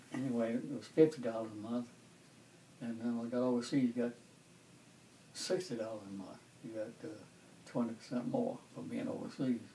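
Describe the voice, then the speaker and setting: Noticeable background noise sits behind a man speaking at a fairly quick pace in a medium pitch. His pitch varies in an ordinary way, broken by long, frequent pauses. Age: 80s+. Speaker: World War II veteran. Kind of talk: interview answer. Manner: casual, rambling storytelling.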